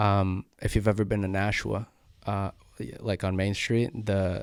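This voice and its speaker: Speaking fairly slowly, a man keeps his fairly low voice on fairly even intonation. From Brazil, moved to US at eight. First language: Portuguese. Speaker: podcast guest. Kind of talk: casual chat.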